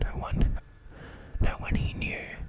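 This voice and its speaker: A fairly slow whisper amid noticeable background noise. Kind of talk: horror story reading. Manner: nervous, occasionally stuttering.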